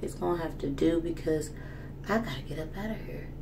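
A woman talks at a fairly quick pace in a fairly low pitch. Light background noise can be heard. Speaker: vlogger. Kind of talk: casual vlog chat. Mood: relaxed, slightly rushed. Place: home room. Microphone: phone near.

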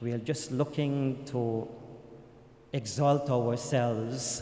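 Slow and fairly even in intonation, a man speaks at a medium pitch with a dark, mellow tone.

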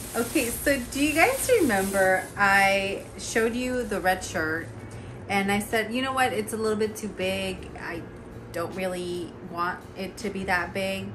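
A woman talks at a fairly slow pace with ordinary pitch variation while noticeable background noise carries on. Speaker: thrift haul vlogger. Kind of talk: casual vlog chat. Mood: cheerful, amused. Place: home room. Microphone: phone near.

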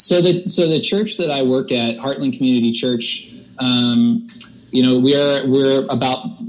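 A man at medium pitch with ordinary pitch variation and a moderate pace amid noticeable background noise. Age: 30s. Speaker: worship pastor. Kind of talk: casual chat. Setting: video call. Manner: halting.

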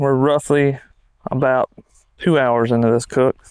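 Against a quiet background, a man speaks at a fairly slow pace with fairly even intonation, and the sound is dry with no echo. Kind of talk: tutorial. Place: garden. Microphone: lapel.

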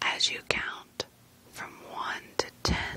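Whispering from a woman, very slow in pace, with noticeable background noise. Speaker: ASMR creator. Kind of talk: guided sleep relaxation. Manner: whispered; slow, calm.

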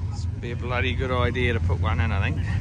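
Speaking at a fairly quick pace, a man comes through with a dry sound with no echo and noticeable background noise. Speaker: vlogger filming at a car event. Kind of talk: casual vlog chat. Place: street. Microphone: phone near.

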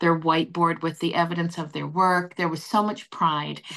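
A woman with a Canadian accent, an ordinary speaking voice, fairly low in pitch, fairly even in intonation, at a moderate pace against a quiet background. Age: 60s. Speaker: nursing association CEO; guest. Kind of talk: panel discussion. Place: home room. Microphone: video call.

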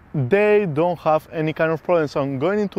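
A man speaks at a high pitch, the sound dry with no echo. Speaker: tennis coach. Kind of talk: tutorial. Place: open country.

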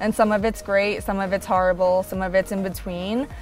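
A woman's voice over faint background music. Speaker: interview guest. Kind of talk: interview answer. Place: garden.

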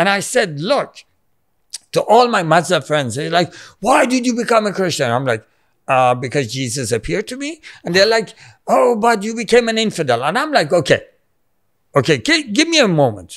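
Against a quiet background, the speaker moves at a moderate pace with long, frequent pauses and very wide pitch swings. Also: man. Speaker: podcast guest. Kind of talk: interview answer. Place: studio. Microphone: studio mic.

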